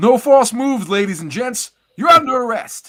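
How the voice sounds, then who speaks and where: In a put-on character voice, a man talks at a moderate pace with an extremely high pitch. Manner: tough, gruff.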